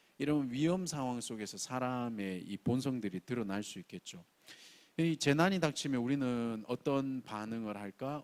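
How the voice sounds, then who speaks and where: A man's medium-pitched voice with a strong Gyeongsang accent, lively intonation and a moderate pace, dry and close with no echo. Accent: Gyeongsang dialect, strong pronunciation. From Gyeongsang region, South Korea. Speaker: pastor. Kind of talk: sermon. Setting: church, early-morning service.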